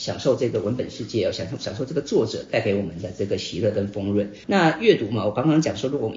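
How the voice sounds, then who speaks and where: A very fast-talking man with a Taiwanese accent and ordinary pitch variation, over noticeable background noise. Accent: Taiwanese Mandarin. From Taiwan (Hsinchu, raised in Taipei). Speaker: book club host and author. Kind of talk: casual talk to a live audience. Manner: frequent filler particles.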